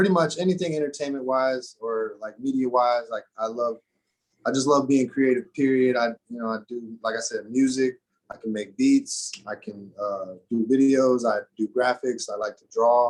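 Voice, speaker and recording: With an American accent and an ordinary speaking voice, a man talks at a moderate pace and medium pitch, showing ordinary pitch variation and big swings in loudness. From Arizona. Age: 30s. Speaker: rapper. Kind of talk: casual chat. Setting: recording studio.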